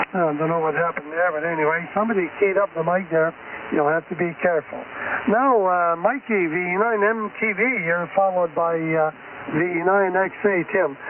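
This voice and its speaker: A man with a Canadian Maritime accent speaks at a moderate pace, his pitch high for a man with ordinary variation. His loudness stays very even over noticeable background noise. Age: 80s+. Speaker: amateur radio net controller. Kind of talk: radio net control. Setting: amateur radio transmission. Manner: folksy.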